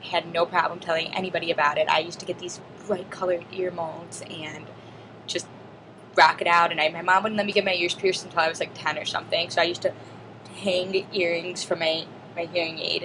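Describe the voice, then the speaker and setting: A woman's fairly low voice at a very fast pace, flat and monotone, over noticeable background noise. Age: 20s. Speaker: deaf student vlogger. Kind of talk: personal video diary monologue.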